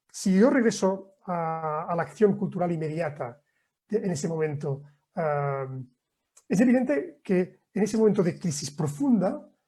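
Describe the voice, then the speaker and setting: This speaker's tone is dark and mellow. The delivery is fairly slow, with lively intonation. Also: man, high pitch for a man. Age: 60s. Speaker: professor. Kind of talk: lecture Q&A. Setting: video call.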